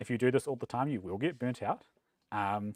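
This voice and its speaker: A man with a New Zealand accent at a moderate pace, the sound dry and close with no echo, on a very clean recording with a silent background. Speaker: software developer, meetup speaker. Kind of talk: conference talk. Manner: casual, frequent fillers.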